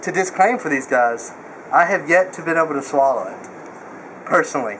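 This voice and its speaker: The speaker uses lively intonation at a moderate pace, with light background noise. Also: man. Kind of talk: casual vlog chat. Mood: excited, joking, nervous. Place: street. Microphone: camera far.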